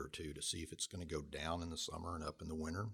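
This man speaks at a very fast pace. His voice is somewhat breathy. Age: 50s. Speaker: professor. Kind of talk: interview.

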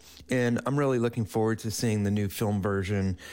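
A man talks in a plain, everyday voice. His pitch is fairly low, with ordinary variation. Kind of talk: radio DJ patter: station ID, song backannouncing, sign-off. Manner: relaxed, friendly, plainly conversational with a warm welcoming tone; measured and unhurried, with some filler 'uh' pauses.

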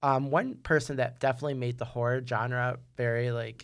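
A man's plain, everyday voice with an American accent, medium pitch and moderate pace. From New York. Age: 30s. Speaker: podcast host, film student. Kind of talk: solo podcast monologue. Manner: casual with many fillers.

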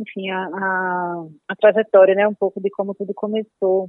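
A woman speaks in a slight northeastern Brazilian accent. Her medium-pitched voice stays monotone and flat. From Paraíba, Brazil (Northeast). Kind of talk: interview.

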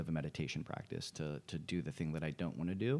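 A man is speaking. His pace is very fast. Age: 20s. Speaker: real estate agent and investor. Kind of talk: casual interview.

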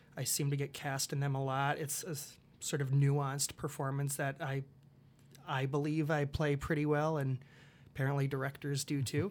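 In an Upper Midwest accent, the speaker keeps a moderate pace and a monotone, flat intonation on a very clean recording with a silent background. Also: man, fairly high pitch for a man. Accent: Upper Midwest American. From Iowa, US Midwest (Dubuque). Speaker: college theater director. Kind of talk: casual interview. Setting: studio. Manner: halting, many fillers.

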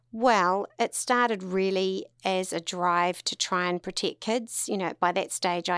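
A woman speaks with a New Zealand accent at a medium pitch. The sound is dry and close with no echo, over a quiet background. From New Zealand, Tauranga. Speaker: lawyer and charity founder. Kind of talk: interview conversation.

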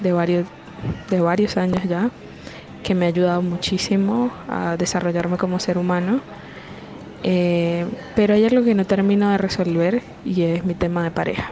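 A woman speaks with long, frequent pauses, very even loudness and fairly even intonation. Noticeable background noise runs underneath. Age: 20s. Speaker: caller sending a voice message. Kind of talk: personal question via voice note. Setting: recorded WhatsApp voice message. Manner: hesitant, with filler sounds.

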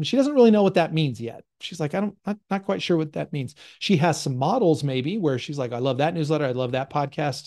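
A man speaks fairly quickly, his fairly high voice dark and mellow in tone. His intonation is lively, and the background is quiet. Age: 40s. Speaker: business coach and podcast host. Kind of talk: solo podcast talk with live call-in discussion. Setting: Zoom session.

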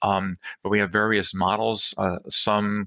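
A man's voice, fairly low in pitch with a bright, sharp tone, delivers everything in a monotone, flat intonation. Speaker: physician and medical professor. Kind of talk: interview. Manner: halting.

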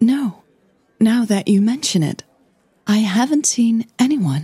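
A woman's put-on character voice, slow and fairly high, with a husky, rough edge, a dark, mellow tone, and lively intonation.

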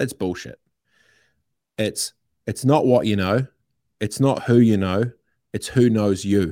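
In a New Zealand accent, a man speaks fairly slowly at a fairly low pitch with a dark, mellow tone and long, frequent pauses, on a very clean recording with a silent background. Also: ordinary pitch variation. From New Zealand (Christchurch, Aranui). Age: 30s. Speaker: entrepreneur and radio host. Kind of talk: casual chat. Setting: studio.

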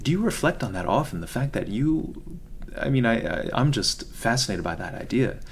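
A soft-spoken man at a fairly quick pace, his pitch swinging very widely, with noticeable background noise. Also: medium pitch for a man. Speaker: podcast host. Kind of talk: interview. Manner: formal.

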